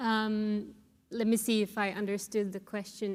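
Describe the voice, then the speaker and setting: A woman with a Sámi accent speaks at a fairly high pitch. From Finland (Sámi). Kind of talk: panel discussion. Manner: hesitant, many fillers.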